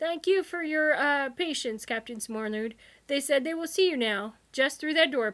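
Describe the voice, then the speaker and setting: Putting on a character voice, a woman speaks high at a moderate pace. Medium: read story. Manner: snippy, bureaucratic.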